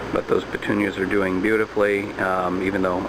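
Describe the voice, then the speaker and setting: The pace of this man's speech is moderate. Noticeable background noise is present. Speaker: home gardening vlogger. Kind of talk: casual video tutorial.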